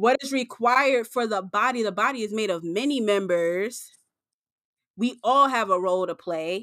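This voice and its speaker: Bright and sharp, a woman's voice carries an animated tone and ordinary pitch variation. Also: fairly high pitch for a woman, moderate pace. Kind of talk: faith-based interview conversation.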